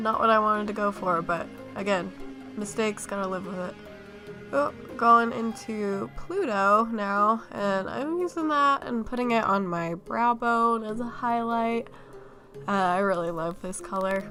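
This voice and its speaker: A woman speaks at a fairly slow pace in a fairly high voice, with music playing in the background. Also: ordinary pitch variation. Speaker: makeup YouTuber. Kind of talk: casual makeup tutorial voiceover.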